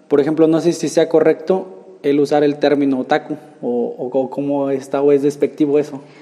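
There is noticeable background noise as a man speaks at a moderate pace. His pitch is fairly high, with fairly even intonation. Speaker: podcast host. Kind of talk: casual interview.

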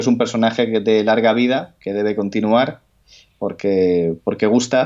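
Against a quiet background, a man with a fairly low pitch and a dark, mellow tone talks at a fairly slow pace with fairly even intonation. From Spain, coastal region. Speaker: writer. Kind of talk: interview. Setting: phone call. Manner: halting.

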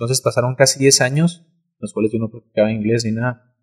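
A somewhat breathy, medium-pitched male voice in a dry, close sound with no echo. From Mexico, Cuauhtémoc. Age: young. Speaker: content creator. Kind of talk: casual chat.

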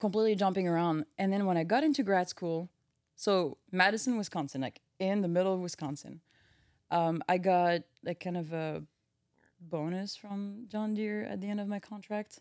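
Her pace is moderate as the woman speaks. The sound is dry and close, with no echo. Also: medium pitch for a woman, ordinary pitch variation. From France, Brittany. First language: French. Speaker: engine research engineer. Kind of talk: casual chat.

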